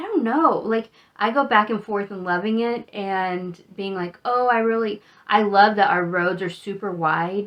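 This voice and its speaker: A woman uses a normal speaking voice at a fairly slow pace with ordinary pitch variation. Her loudness swings a lot. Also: medium pitch for a woman. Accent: American. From Texas, Amarillo (Panhandle). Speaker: travel vlogger. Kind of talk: casual monologue.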